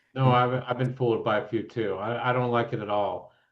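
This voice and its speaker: At a moderate pace and medium pitch, the man talks in an unremarkable speaking voice. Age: 60s. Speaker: composer and guitarist. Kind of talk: casual chat.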